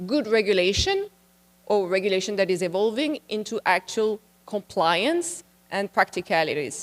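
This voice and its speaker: A French accent, lively intonation and a moderate pace in a dry, close sound with no echo. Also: woman. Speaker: international policy expert, conference speaker. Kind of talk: conference presentation. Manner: conversational, slightly halting.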